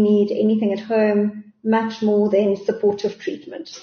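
Speaking in a plain, everyday voice, a woman talks at a fairly slow pace and a fairly high pitch. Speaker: doctor. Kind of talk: interview.

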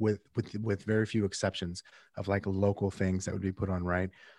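In a normal speaking voice, a man with an American accent and a fairly low pitch uses a fairly even intonation, with a dry, close sound with no echo and a quiet background. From Phoenix, Arizona. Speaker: real estate agent and podcast host. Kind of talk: interview. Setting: remote call.

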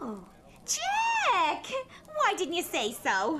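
A woman puts on a squeaky character voice at an extremely high pitch, with very wide pitch swings. Background noise is clearly audible. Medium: audio drama. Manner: folksy, ungrammatical chatter.

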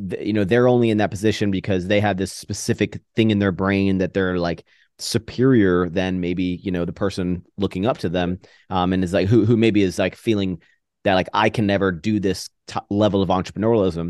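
A man with an American accent has a normal speaking voice at a fairly low pitch, with fairly even intonation and a fairly quick pace. The sound is dry and close with no echo, over a quiet background. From US East Coast. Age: 30s. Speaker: YouTuber and entrepreneur. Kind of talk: casual chat.

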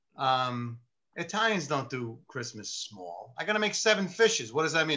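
A man talks at a fairly quick pace with a New York accent. His pitch swings very widely and his loudness rises and falls in big swings. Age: 50s. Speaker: retired police sergeant turned lawyer. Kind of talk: casual chat. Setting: video call.

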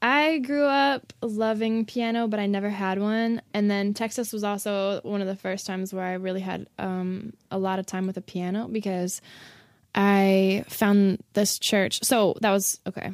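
A woman talks at a fairly slow pace with medium pitch, ordinary pitch variation and an unremarkable speaking voice. The recording is very clean, the background silent. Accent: American. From Chicago. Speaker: singer and rapper. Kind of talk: casual chat.

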